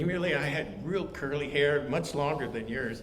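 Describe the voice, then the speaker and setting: At a moderate pace, a man talks in a fairly high pitch with ordinary pitch variation. Noticeable background noise and audible room echo accompany him. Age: 70s. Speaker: Bible study teacher. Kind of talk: Bible study lesson with personal stories. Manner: halting, many fillers.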